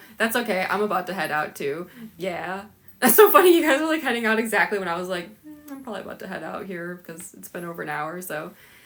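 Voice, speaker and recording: A woman with a Southern Californian accent, medium pitch and lively intonation, very fast pace, big swings in loudness, and noticeable background noise. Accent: Valley Girl. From Chicago. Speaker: cosplayer livestreamer. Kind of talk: casual livestream chat. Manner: Valley Girl way of speaking, lots of 'like'; halting, repeats words.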